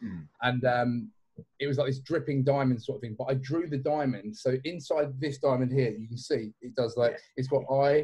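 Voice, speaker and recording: A man's voice has a dark, mellow tone and is somewhat breathy. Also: medium pitch for a man, ordinary pitch variation, moderate pace. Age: 30s. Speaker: clothing brand owner. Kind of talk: casual chat.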